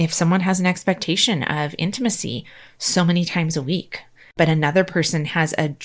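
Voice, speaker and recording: In a very clean recording with a silent background, a woman with a normal speaking voice talks at a fairly quick pace, her pitch fairly low with ordinary variation. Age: 40s. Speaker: podcast host and nurse coach. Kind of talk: solo personal monologue.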